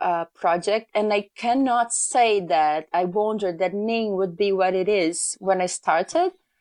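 Someone with a Brazilian Portuguese accent speaks at a fairly slow pace against a quiet background. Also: woman. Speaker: magazine editor. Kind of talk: casual interview chat. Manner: hesitant, with many fillers.

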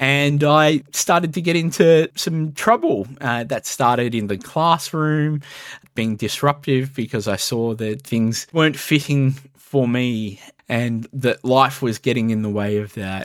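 A man with an Australian accent at a fairly slow pace, medium pitch and ordinary pitch variation. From Melbourne, Australia. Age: 30s. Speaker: youth worker. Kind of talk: interview.

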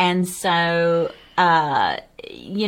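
A woman with a Southern US accent and a medium pitch. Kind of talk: devotional Bible discussion.

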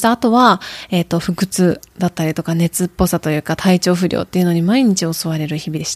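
Recorded with a dry, close sound and no echo, a woman in a normal speaking voice talks at a fairly quick pace and medium pitch with ordinary pitch variation. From Japan, Tokushima and Kyoto. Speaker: podcast host and interpreter. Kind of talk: solo monologue, self-introduction. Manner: frequent fillers, conversational.

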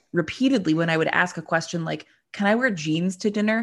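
A woman with an American accent has an ordinary speaking voice, fairly low pitch and ordinary pitch variation against a quiet background. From US, Pittsburgh area, Pennsylvania. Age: 30s. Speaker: podcast co-host. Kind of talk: casual interview chat.

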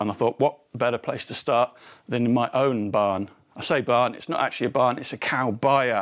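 Speaking with an English accent, a man uses a medium pitch and fairly even intonation at a moderate pace, in a very clean recording with a silent background. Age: 50s. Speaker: podcast host. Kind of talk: scripted narration; casual chat. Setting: barn.

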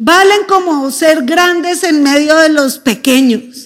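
Speaking at a very slow pace, a woman uses an extremely high pitch with ordinary pitch variation. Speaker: pastor. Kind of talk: sermon.

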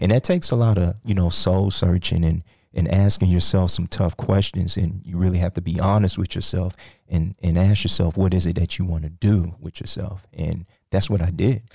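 In a very clean recording with a silent background and a dry, close sound with no echo, a man with an American accent talks at a moderate pace in a very deep, low, somewhat breathy voice with a dark, mellow tone and fairly even intonation. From Texas, Sugar Land (Houston area). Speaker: cryptocurrency consultant. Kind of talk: interview. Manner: hesitant, many fillers.

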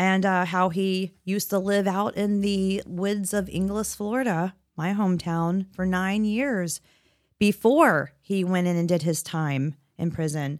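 Recorded very cleanly with a silent background, a woman of medium pitch speaks at a fairly slow pace with ordinary pitch variation. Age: middle-aged. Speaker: podcast co-host. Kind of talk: casual chat. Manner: animated.

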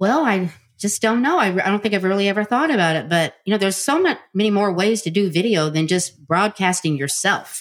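A woman with an unremarkable speaking voice talks at a fairly quick pace with hardly any pauses. Her medium pitch rises and falls with lively intonation while her loudness stays very even. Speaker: social media guest, team builder. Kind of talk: interview. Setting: recorded together in person.

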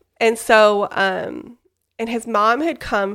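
A woman with an American accent at a very slow pace, in a very clean recording with a silent background. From Utah, West Jordan. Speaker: giveaway winner guest. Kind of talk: casual chat.

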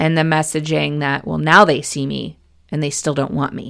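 A woman speaks in a very deep, low voice on a very clean recording with a silent background. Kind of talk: solo podcast talk. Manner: frequent laughter.

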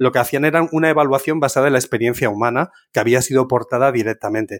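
A man at a medium pitch talks at a very fast pace, the sound dry and close with no echo on a very clean recording with a silent background. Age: 50s. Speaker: software engineer. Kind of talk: casual interview. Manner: animated.

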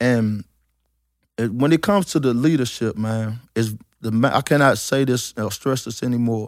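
An ordinary speaking voice from a man at medium pitch, with ordinary pitch variation and a moderate pace, captured on a very clean recording against a silent background.

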